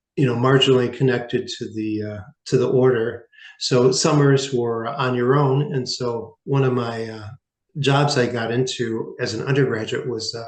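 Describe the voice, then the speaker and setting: With audible echo in the room, a man talks in fairly even intonation. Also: medium pitch for a man, moderate pace. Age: 60s. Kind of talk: interview testimony. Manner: halting, many fillers.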